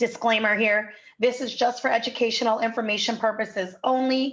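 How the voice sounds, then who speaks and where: A woman talks at a fairly quick pace with a fairly high pitch. Her intonation is flat and monotone. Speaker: real estate investment presenter. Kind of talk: sales pitch. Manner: fast.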